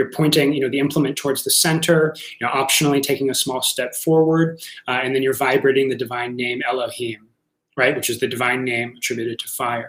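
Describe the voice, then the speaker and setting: A man with a medium-pitched voice talks at a very fast pace. His intonation stays fairly even. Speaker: workshop teacher of ritual magick. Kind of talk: lecture. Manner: halting, many fillers and repeats.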